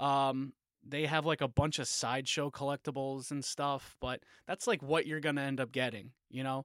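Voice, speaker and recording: On a very clean recording with a silent background and a dry, close sound with no echo, a man speaks at a moderate pace in a fairly high pitch with monotone, flat intonation. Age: 30s. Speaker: podcast co-host. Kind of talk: casual chat.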